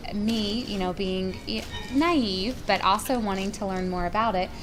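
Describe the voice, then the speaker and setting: The voice has an American accent and ordinary pitch variation at a moderate pace. Room echo can be heard. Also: woman. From North Carolina. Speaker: pharmacy professor. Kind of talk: lecture.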